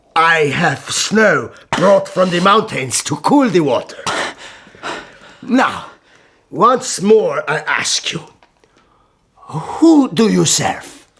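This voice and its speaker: Using a put-on character voice, the speaker goes at a very slow pace with long, frequent pauses. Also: man, high pitch for a man. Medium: audio drama. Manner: measured, courteous, commanding.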